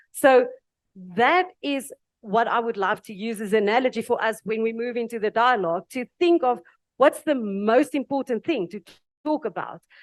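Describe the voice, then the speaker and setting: Speaking with a South African accent, a woman uses a fairly high pitch, ordinary pitch variation and a moderate pace, in a dry, close sound with no echo against a quiet background. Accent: Afrikaans South African. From South Africa (Afrikaans). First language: Afrikaans. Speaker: panel speaker. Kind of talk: panel discussion.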